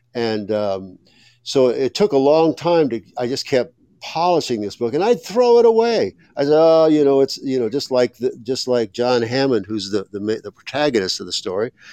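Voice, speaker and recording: Speaking at a moderate pace with an American accent, a man uses a dark, mellow tone and lively intonation, recorded dry and close with no echo. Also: medium pitch for a man. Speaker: author and former columnist. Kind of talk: interview.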